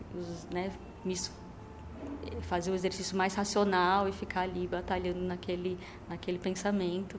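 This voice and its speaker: Her pitch medium and intonation monotone and flat, a woman speaks at a moderate pace with long, frequent pauses in audible room echo. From São Paulo, Brazil, with Minas Gerais parents. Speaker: poet. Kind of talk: interview. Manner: halting, many fillers.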